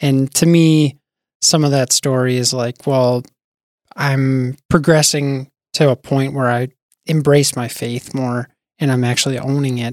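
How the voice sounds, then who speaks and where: With an American accent, a man speaks at medium pitch in a monotone, flat delivery at a fairly slow pace, the sound dry and close with no echo. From US Midwest, North Dakota (Bismarck). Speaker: software engineer and church youth leader. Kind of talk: casual chat.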